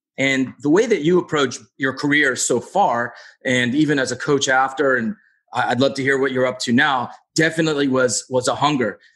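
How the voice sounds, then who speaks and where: Against a quiet background, a man with a medium pitch speaks at a moderate pace in an enthusiastic tone with ordinary pitch variation. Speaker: addiction medicine doctor and podcast co-host. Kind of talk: casual interview. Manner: enthusiastic, informal.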